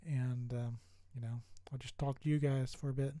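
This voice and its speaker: Soft-spoken and somewhat breathy, a man with a dark, mellow tone and medium pitch talks at a moderate pace with fairly even intonation. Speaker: streamer. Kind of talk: casual chat. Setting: live stream. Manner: hesitant, many fillers.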